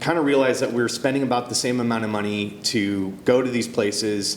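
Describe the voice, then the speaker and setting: A man speaks at a medium pitch with ordinary pitch variation. Noticeable background noise and audible room echo fill the recording. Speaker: animation producer. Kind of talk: talk show interview. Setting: stage with audience. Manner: halting, many fillers.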